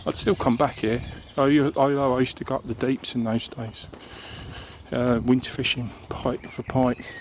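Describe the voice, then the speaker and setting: A man with a southern English accent, medium pitch and fairly even intonation, moderate pace with long, frequent pauses, and noticeable background noise. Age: old. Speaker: vlogger. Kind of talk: casual monologue. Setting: outdoors. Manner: halting; soft-spoken.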